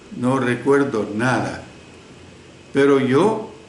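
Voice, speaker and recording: There is noticeable background noise as a man speaks. Audible room echo surrounds his voice. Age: 70s. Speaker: preacher. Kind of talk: sermon. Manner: conversational with fillers.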